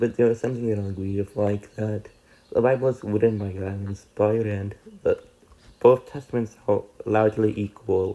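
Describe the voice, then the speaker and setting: Fairly quick in pace, a man speaks in a monotone, flat intonation. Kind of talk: video commentary response. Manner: halting.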